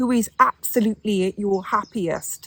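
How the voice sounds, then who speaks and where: With an English accent, a woman speaks in a fairly high, somewhat breathy voice, the sound dry and close with no echo. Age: 60s. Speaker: lifestyle vlogger. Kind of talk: casual monologue to camera. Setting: outdoors in the garden.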